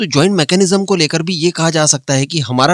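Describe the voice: With a fairly bright tone and fairly high pitch, a man talks at a fairly quick pace with ordinary pitch variation in a dry, close sound with no echo, on a very clean recording with a silent background.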